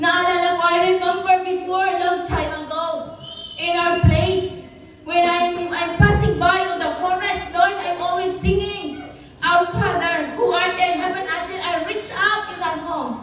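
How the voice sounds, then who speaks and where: In a Filipino accent, a woman speaks loudly at an extremely high pitch, her intonation monotone and flat and her pace fairly slow, with noticeable background noise and audible room echo. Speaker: pastor. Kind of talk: sermon.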